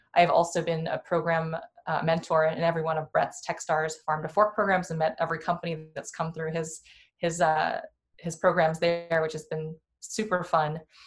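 A woman's fairly low, somewhat breathy voice with an American accent, flat monotone intonation and a moderate pace, on a very clean recording with a silent background. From Iowa, US Midwest. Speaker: venture capital investor. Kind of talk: casual interview.

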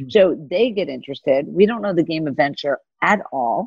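This woman has an unremarkable speaking voice with an American accent, pitched fairly low. She speaks at a moderate pace with lively intonation. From US South. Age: 50s. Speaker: venture capital investor. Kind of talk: interview.

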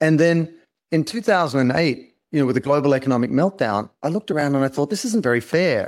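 Very fast and with lively intonation, a man speaks in an Australian accent at a fairly high pitch on a very clean recording with a silent background. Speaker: brand consultant and author. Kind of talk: interview conversation.

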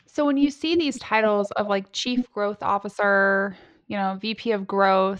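A woman with a plain, everyday voice speaks at a moderate pace and medium pitch. The background is quiet. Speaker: podcast host. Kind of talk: podcast interview.

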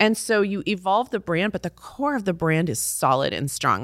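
A woman with an American accent and a medium pitch, an ordinary speaking voice with lively intonation at a moderate pace, on a very clean recording with a silent background. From Texas (Fort Worth), high school in Brussels. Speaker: beauty brand founder. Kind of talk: interview.

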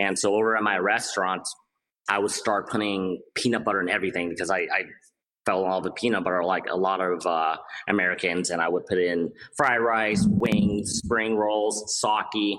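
A man with a normal speaking voice, fairly low in pitch, with fairly even intonation, very even loudness and a moderate pace. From Cambodia, raised in US (San Diego). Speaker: entrepreneur, spirits brand founder. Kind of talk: interview.

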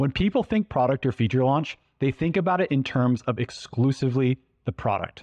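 A man at medium pitch talks at a fairly quick pace with lively intonation and a plain, everyday voice. The sound is dry and close with no echo, over a quiet background. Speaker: co-host, sales expert. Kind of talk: casual interview chat.

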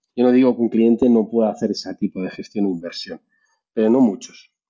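Fairly quick speech with fairly even intonation. It is a plain, everyday voice. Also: man. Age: 40s. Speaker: cloud security specialist. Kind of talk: casual chat.

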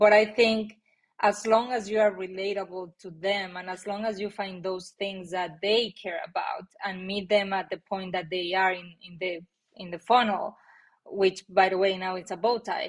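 A woman with a Mexican accent at a moderate pace, her intonation monotone and flat, her loudness swinging widely. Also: medium pitch for a woman. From Mexico. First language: Spanish. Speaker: marketing executive. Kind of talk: interview. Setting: video call.

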